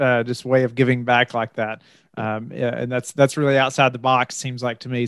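The sound is dry with no echo as a man talks at a moderate pace in a monotone, flat intonation. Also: quiet background. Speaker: podcast host. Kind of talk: interview conversation. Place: home room. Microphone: studio mic.

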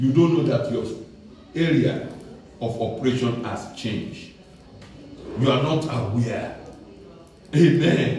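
A man at a fairly slow pace, with ordinary pitch variation, long, frequent pauses, light background noise and strong room echo. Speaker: preacher. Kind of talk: sermon. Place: church.

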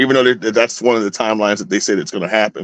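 A man with a fairly low pitch and vocal fry speaks at a very fast pace. The sound is dry with no echo over a quiet background. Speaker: astrologer; guest. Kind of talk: casual chat. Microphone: video call.

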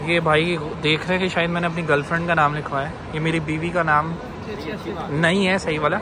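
At a moderate pace, a man talks in a dry recording with no echo, and noticeable background noise can be heard. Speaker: vlogger. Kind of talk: casual vlog chat. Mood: playful, slightly nervous. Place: shop. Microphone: phone near.

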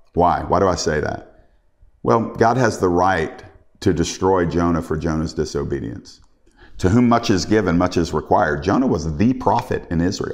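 Over a quiet background, a man speaks at a very deep, low pitch. His pace is moderate and his intonation lively. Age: 50s. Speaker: preacher. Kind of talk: sermon. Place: home room.

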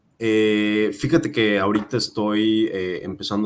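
This is a man speaking. His pitch is fairly low. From Mérida, Yucatán, Mexico; Yucatán, Mexico. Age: 20s. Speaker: real estate agent and content creator; content creator. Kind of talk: casual interview. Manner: hesitant, many fillers. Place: home room.

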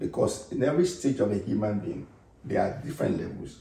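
A man speaks at a moderate pace in a somewhat breathy voice. His tone is dark and mellow, with audible room echo. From Nigeria. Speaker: pastor and interview host; pastor, interview host. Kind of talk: interview. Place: home room. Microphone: camera far.

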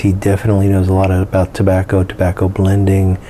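Moderate pace over light background noise. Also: man. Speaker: pipe channel host. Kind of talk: casual vlog chat. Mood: calm, relaxed. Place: workshop.

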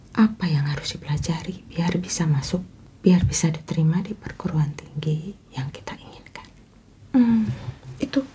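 A woman's fairly low voice at a moderate pace, with big swings in loudness and light background noise. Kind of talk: advice talk to camera. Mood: calm, caring, earnest. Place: home room.

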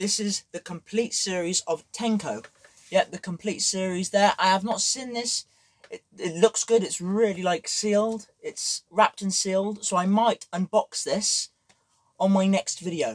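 Here a man talks at a moderate pace with a high pitch and ordinary pitch variation. The background is quiet. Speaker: vlogger. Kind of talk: casual vlog chat. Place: home room. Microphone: camera far.

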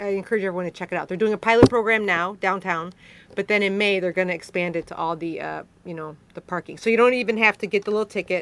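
Over light background noise, a woman with a Chicago accent talks very fast at a medium pitch with fairly even intonation and big swings in loudness. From Chicago, northwest side. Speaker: city council member. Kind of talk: live call-in interview. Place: studio.

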